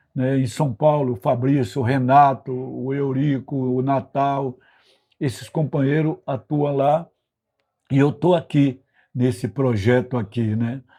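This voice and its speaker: Very slow delivery in a dark, mellow tone with fairly even intonation. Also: man, medium pitch for a man. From Brazil, Bahia (northeast), later Rio de Janeiro. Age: 80s+. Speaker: retired political activist, institute president. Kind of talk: interview, personal life story. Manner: frequent fillers and tag questions.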